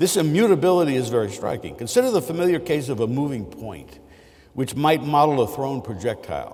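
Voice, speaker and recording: Lively intonation marks this man's fairly high voice, which carries vocal fry. He talks at a fairly quick pace. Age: 60s. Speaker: mathematics professor. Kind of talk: lecture. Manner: halting, with many fillers.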